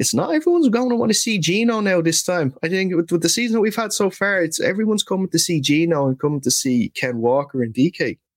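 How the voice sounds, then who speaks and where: With an Irish accent, a man talks at a very fast pace with hardly any pauses and high pitch. His pitch swings very widely while loudness stays very even, the sound dry and close with no echo. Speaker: NFL podcast host. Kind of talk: casual chat.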